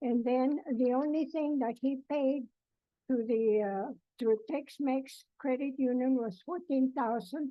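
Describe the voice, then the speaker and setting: A woman speaks in a high voice at a fairly slow pace. Her loudness stays very even throughout. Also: ordinary pitch variation. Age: 80s+. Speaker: plaintiff in small claims court. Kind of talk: courtroom testimony. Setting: courtroom. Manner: halting.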